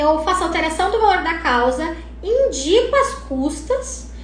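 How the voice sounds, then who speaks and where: A woman speaks in an animated tone with very wide pitch swings. Noticeable background noise and audible room echo surround her voice. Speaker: lawyer teaching probate practice. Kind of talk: live stream Q&A tutorial. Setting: live stream.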